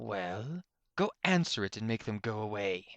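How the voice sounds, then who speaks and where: A man's put-on character voice, fairly low in pitch, with lively intonation at a moderate pace, dry and close with no echo against a quiet background. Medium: read story. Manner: sarcastic, dismissive.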